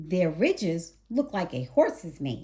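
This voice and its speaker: A woman uses a put-on character voice of medium pitch. She goes at a fairly slow pace with very wide pitch swings. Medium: read story. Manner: friendly.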